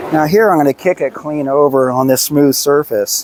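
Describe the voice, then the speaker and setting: An unremarkable speaking voice at a fairly slow pace with fairly even intonation. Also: man. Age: 60s. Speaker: personal trainer. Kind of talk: tutorial. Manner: casual.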